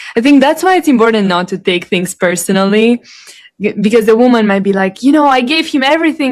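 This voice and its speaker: With a plain, everyday voice and an American accent, a woman speaks at a fairly high pitch. Her intonation is lively. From Ohio. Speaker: interviewer. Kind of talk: interview conversation.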